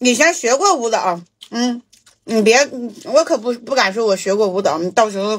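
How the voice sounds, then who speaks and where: Very wide pitch swings mark this voice, heard at a fairly slow pace. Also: woman. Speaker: mukbang streamer. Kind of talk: casual livestream chat while eating, answering viewer questions. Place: home room.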